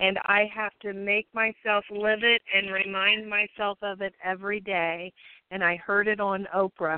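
A woman talks at a fairly slow pace with a medium pitch and a monotone, flat intonation. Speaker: women veterans liaison.

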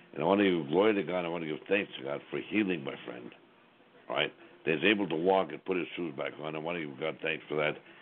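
Very fast and very deep, a man's low voice carries ordinary pitch variation. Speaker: radio host. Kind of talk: live radio show.

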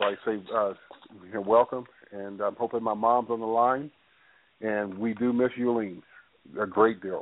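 A man talks at a medium pitch and a moderate pace, his intonation fairly even, leaving long, frequent pauses. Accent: American. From US South, Atlanta, Georgia. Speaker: family member guest. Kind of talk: casual chat. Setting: phone call. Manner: halting.

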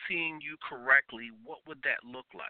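A man talks at a fairly slow pace. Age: 40s. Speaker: radio talk show host. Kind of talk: call-in radio talk show.

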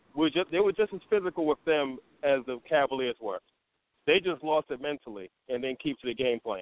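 Using a plain, everyday voice, a man speaks at a fairly quick pace with a fairly high pitch and lively intonation. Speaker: caller.

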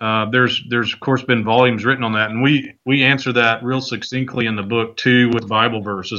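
A man talks at a fairly quick pace. He has a plain, everyday voice at medium pitch. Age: 40s. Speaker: author and ministry leader. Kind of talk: casual interview.

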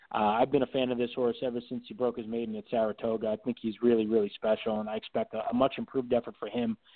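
A man talks at a very fast pace with hardly any pauses. His intonation is monotone and flat. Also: medium pitch for a man. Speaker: horse racing TV analyst, handicapper. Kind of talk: casual interview.

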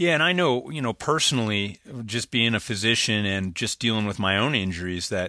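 The recording is very clean, with a silent background, as a man speaks at a fairly low pitch. His tone is bright and sharp, with ordinary pitch variation and a fairly quick pace. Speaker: podcast host and interviewer. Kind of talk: casual interview.

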